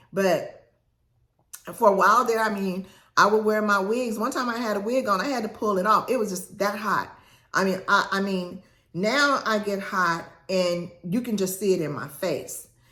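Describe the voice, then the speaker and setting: A woman with an animated tone at a moderate pace, ordinary pitch variation, and audible room echo. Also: medium pitch for a woman. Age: 60s. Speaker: lifestyle vlogger. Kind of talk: casual talk to camera.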